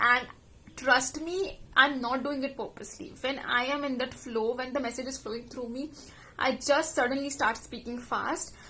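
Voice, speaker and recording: A raised, projected voice with a bright, sharp tone and fairly even intonation. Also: woman, high pitch for a woman. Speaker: life coach and podcast host. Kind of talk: casual monologue. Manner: fast.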